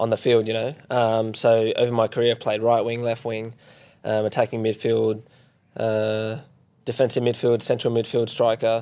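At a moderate pace, a man with an Australian accent speaks in a monotone, flat intonation at medium pitch, his tone dark and mellow, on a very clean recording with a silent background. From Perth, Western Australia. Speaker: professional footballer. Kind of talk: casual chat.

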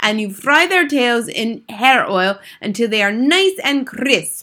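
Putting on a character voice, a woman speaks slowly at a fairly high pitch, her tone bright and sharp and her intonation lively.

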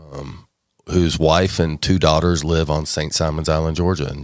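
A man's very deep, low voice with an American accent at a moderate pace, on a very clean recording with a silent background. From Texas, Dallas area. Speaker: restaurant owner. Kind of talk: casual chat; testimony.

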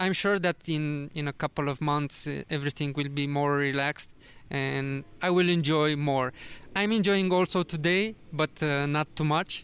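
A man's fairly high voice in a Romanian accent, with fairly even intonation and a moderate pace. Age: 30s. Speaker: travel vlogger. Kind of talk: casual interview. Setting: in person in Vietnam. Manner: halting.

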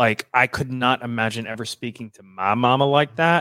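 A man with a Southern US accent at medium pitch and a moderate pace, fairly even in intonation, with dry, close sound and no echo, on a very clean recording with a silent background. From Louisiana, US South. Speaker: TV personal assistant, reality show fan. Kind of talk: casual chat.

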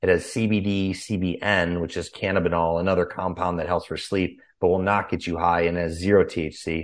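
A man speaks in a very deep, low pitch with an American accent. He keeps a flat monotone at a moderate pace, against a quiet background. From Chicago, US Midwest. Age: 30s. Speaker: former boxer and business founder. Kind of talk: interview. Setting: remote call.

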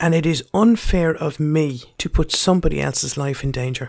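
The speaker has an Irish accent and a passionate tone. The pace is fairly slow. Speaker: podcast host. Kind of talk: angry rant. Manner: passionate, forceful, blunt; rhetorical, questioning, lecturing.

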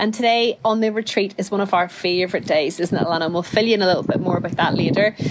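Very fast female speech amid noticeable background noise. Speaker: podcast host. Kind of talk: casual chat.

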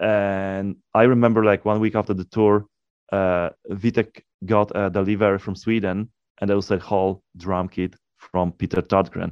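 In a Polish accent, a man speaks at a moderate pace with monotone, flat intonation and a fairly low pitch, in a dry, close sound with no echo. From Poland. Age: 40s. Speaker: death metal guitarist. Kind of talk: interview.

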